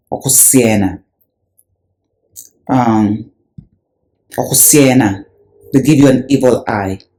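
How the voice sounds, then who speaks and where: With a Kenyan accent, a man speaks at a very slow pace, with long, frequent pauses. His tone is dark and mellow, with ordinary pitch variation. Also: medium pitch for a man. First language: Luhya. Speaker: religious video presenter. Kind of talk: video commentary.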